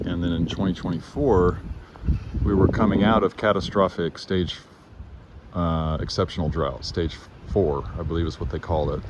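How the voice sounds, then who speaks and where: A man speaks with a very deep, low pitch and ordinary pitch variation. Noticeable background noise runs under his voice. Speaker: gardener and environmental video blogger. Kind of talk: casual outdoor video report. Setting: outdoors. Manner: halting, with many fillers.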